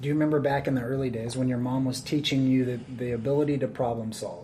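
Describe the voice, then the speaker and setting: A man talks very fast at a medium pitch with fairly even intonation. His tone is dark and mellow, and somewhat breathy. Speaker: podcast host. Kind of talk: interview, podcast intro.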